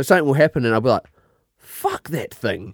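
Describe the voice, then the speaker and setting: A man with a New Zealand accent talks at a fairly quick pace with lively intonation, recorded with a dry, close sound and no echo. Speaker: podcast co-host. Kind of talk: casual chat.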